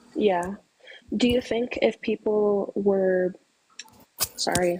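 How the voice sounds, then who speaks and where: A soft-spoken woman with a medium pitch. She talks at a very slow pace with ordinary pitch variation. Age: 20s. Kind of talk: debate.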